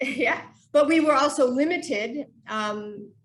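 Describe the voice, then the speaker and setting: A woman with an American accent and a high pitch, at a very slow pace with ordinary pitch variation and audible room echo. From United States. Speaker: human movement scientist. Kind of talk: podcast interview.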